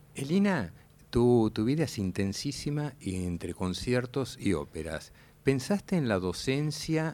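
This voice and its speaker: A dark, mellow tone with very wide pitch swings, delivered at a fairly slow pace. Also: man, medium pitch for a man. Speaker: radio host. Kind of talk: radio interview. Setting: radio studio.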